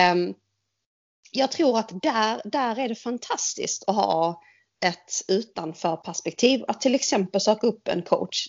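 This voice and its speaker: A woman talks with lively intonation at a moderate pace. It is a normal speaking voice. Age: 40s. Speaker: podcast co-host. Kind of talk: casual chat.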